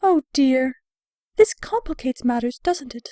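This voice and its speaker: A put-on character voice, female-sounding and high in pitch, at a moderate pace. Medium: audio drama. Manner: refined, affected, uses "darling".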